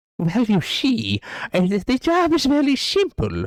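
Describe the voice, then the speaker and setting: The man puts on a character voice and delivers his lines at a fairly slow pace. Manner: sly, explaining a simple job.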